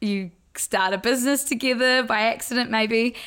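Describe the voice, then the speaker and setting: Fairly high in pitch, a woman speaks with a New Zealand accent and ordinary pitch variation. The recording is very clean, with a silent background. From New Zealand, Blenheim. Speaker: social media news page co-founder. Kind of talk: casual interview chat.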